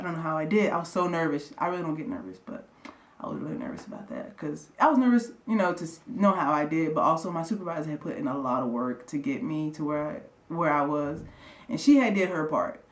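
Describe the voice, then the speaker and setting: The speech moves at a fairly quick pace. Noticeable background noise is present. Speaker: air force airman vlogger. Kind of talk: casual vlog storytelling. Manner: fast-talking.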